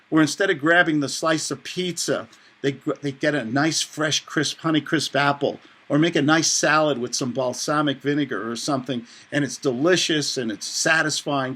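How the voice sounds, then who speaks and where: Speaking in a New York accent, a man with a bright, sharp tone and a fairly high pitch moves at a moderate pace in a very clean recording with a silent background. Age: 60s. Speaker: author and real estate investor. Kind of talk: interview. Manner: animated.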